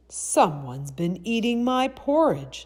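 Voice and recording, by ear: A put-on character voice, female-sounding and gruff, sits at a middle pitch with very wide pitch swings and moves at a fairly slow pace.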